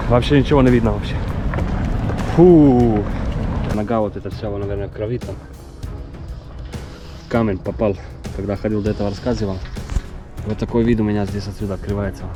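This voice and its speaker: The speech moves at a fairly quick pace, with music in the background. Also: man. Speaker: endurance hiker and survival vlogger. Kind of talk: casual talk to camera while hiking.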